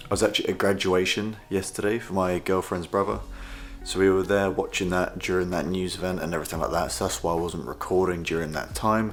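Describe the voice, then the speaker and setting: With music playing in the background, a man speaks very fast in a British accent, his pitch very deep and low and his intonation fairly even. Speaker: trading vlogger. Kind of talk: casual vlog. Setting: at home.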